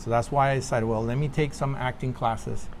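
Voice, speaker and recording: Audible room echo surrounds a man speaking at a moderate pace and a medium pitch. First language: Spanish. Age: 50s. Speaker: actor. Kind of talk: interview.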